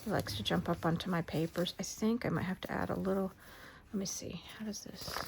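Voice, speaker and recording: Whispering at a fairly quick pace, a woman speaks. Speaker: crafter. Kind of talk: tutorial. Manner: soft-spoken.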